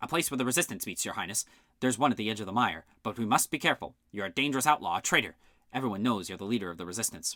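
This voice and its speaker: In a put-on character voice with a nervous tone, a man speaks very fast at medium pitch on a very clean recording with a silent background. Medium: read story. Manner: nervous, deferential.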